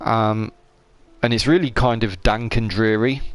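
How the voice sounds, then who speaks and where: A British accent from a man at a moderate pace, with noticeable background noise. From UK. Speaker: gaming streamer. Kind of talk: live gameplay commentary. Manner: casual, hesitant with fillers.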